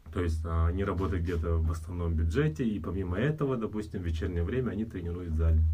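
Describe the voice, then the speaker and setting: In a room with audible echo, a man with a very deep, low pitch and a dark, mellow tone speaks very fast, somewhat breathy, with hardly any pauses and ordinary pitch variation. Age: 30s. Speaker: fitness trainer. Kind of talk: casual chat.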